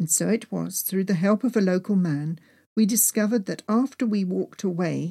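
In a natural voice, someone reads aloud with ordinary pitch variation.

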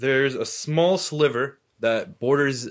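Against a quiet background, a man talks with an American accent. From US Northeast, Medford, Massachusetts. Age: 20s. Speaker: podcast guest, Palestinian American. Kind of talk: casual chat. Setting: studio.

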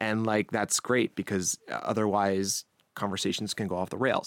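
In a dry, close recording with no echo, a man speaks at a moderate pace with a fairly low pitch. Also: very clean recording, silent background. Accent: American. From Long Island, New York. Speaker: news podcast host. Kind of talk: interview chat. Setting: studio.

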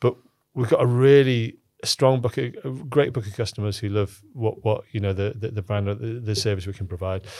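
Here a man talks with a Cumbrian accent at a fairly quick pace. His tone is dark and mellow. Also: medium pitch for a man, fairly even intonation. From northern England, Cumbria (Lake District). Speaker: startup founder and CEO. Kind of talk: casual interview conversation. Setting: studio. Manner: halting, many repetitions and fillers.

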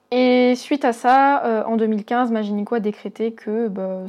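A woman speaks with fairly even intonation. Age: 20s. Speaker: listener sharing health story. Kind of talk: testimony. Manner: halting.

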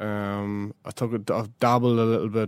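With a Northern Irish accent, a man speaks at a fairly low pitch in flat, monotone intonation on a very clean recording with a silent background. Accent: South Armagh Northern Irish. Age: young. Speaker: Gaelic football manager. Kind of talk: interview.

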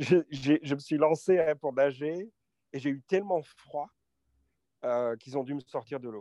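Fairly slow and fairly high in pitch, a man speaks in a dark, mellow tone with ordinary pitch variation, the sound dry and close with no echo. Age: 50s. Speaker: business executive. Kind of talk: interview. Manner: halting, many repetitions.

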